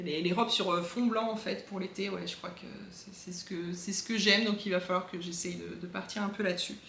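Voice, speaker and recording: There is audible room echo and noticeable background noise around this woman. She talks at a medium pitch with fairly even intonation. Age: 40s. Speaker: craft podcaster. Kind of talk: casual monologue vlog. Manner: hesitant, many fillers.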